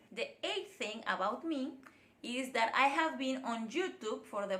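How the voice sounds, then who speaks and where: A woman with a Spanish accent speaks in a bright, sharp tone with lively intonation, and room echo can be heard. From Mexico (Mérida, Yucatán; then Guadalajara). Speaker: vlogger. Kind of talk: casual vlog monologue.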